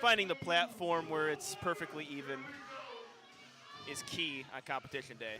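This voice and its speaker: Lively intonation runs at a moderate pace, broken by long, frequent pauses. Noticeable background noise sits behind it. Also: man, high pitch for a man. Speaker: powerlifting commentator. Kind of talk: live commentary.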